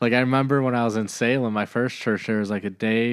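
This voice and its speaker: Recorded very cleanly with a silent background, a man in a plain, everyday voice speaks at a medium pitch and fairly quick pace with fairly even intonation. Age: 30s. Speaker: pastor. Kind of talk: casual chat.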